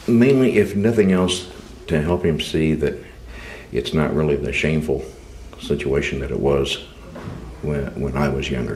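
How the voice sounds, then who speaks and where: Lively intonation at a moderate pace with long, frequent pauses, over noticeable background noise and audible room echo. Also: man, very deep, low pitch for a man. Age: 60s. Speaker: suspect in sting interview. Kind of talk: interrogation.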